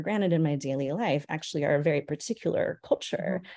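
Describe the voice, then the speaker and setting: Very fast speech from a woman with an American accent and a dark, mellow tone, against a quiet background. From California. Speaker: biblical scholar, professor. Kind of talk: interview.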